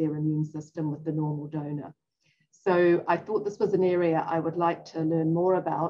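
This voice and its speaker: A woman speaks with a New Zealand accent in a fairly low voice. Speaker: physician-scientist and professor. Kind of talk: interview.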